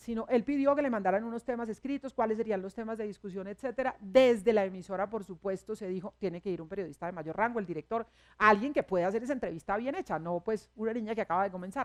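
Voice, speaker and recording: A woman's fairly high voice at a very fast pace with hardly any pauses, dry and close with no echo. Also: ordinary pitch variation. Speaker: radio news director and journalist. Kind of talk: public talk at a university forum.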